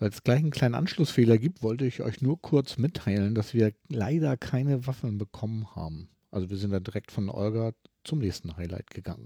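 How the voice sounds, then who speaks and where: Recorded very cleanly with a silent background, a man at medium pitch speaks fairly quickly in a dark, mellow tone with lively intonation. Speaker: podcast host, wheelchair user. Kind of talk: casual interview on location. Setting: walking through a crowded convention hall. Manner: hesitant, many fillers.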